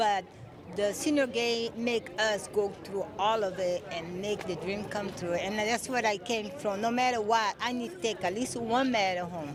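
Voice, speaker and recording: A woman talks at a medium pitch with ordinary variation. Noticeable background noise runs underneath. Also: moderate pace. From Brazil. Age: 60s. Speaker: senior track athlete. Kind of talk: interview.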